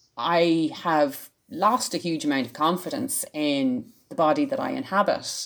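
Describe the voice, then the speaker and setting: A woman talks with hardly any pauses. Her fairly low pitch swings very widely. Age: 40s. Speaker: learning specialist and science communicator. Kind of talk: casual interview.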